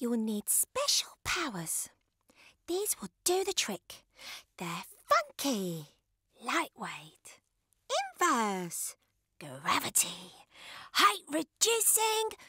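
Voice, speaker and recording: Using a squeaky, put-on character voice, a woman speaks high-pitched at a very slow pace, leaving long, frequent pauses. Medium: read story.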